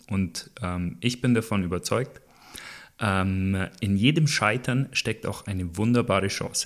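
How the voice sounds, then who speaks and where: A man with a fairly low pitch talks at a very slow pace, using ordinary pitch variation and long, frequent pauses. The recording is very clean, with a silent background. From Allgäu, Bavaria, Germany. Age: 20s. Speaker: wheelchair athlete and motivational speaker. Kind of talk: interview. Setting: at home, in his living room.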